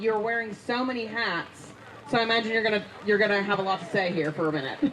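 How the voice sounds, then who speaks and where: In an American accent, a woman speaks with very wide pitch swings, while audible room echo and noticeable background noise fill the recording. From US South. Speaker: livestream host. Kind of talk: live interview.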